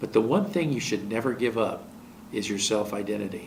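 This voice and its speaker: This man has an unremarkable speaking voice with an American accent. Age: 60s. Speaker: TV talk show host and relationship counselor. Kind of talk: television monologue giving relationship advice.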